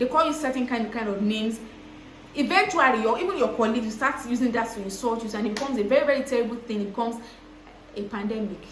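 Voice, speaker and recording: Noticeable background noise and audible room echo surround a voice with ordinary pitch variation. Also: woman. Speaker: content creator. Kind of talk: vlog storytelling. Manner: fast.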